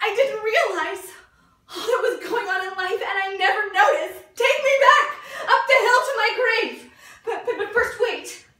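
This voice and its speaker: Against a quiet background with audible room echo, a raised, projected voice moves at a moderate pace with ordinary pitch variation and big swings in loudness. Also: woman. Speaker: actor at an audition. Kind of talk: dramatic theatre monologue. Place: studio. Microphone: camera far.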